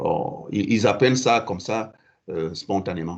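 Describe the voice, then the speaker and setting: A man with a Central African accent, fairly low pitch and lively intonation. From southern Cameroon. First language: Fang (speaking French). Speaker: writer in exile. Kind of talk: answering audience questions at a literary evening. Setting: live event with audience. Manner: halting, many repetitions and hesitations.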